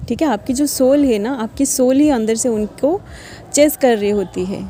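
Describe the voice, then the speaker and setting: A woman talks in a high voice with ordinary pitch variation as noticeable noise sounds behind her. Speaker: spiritual guidance reader. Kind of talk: casual talk to viewers. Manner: hesitant, many filler sounds.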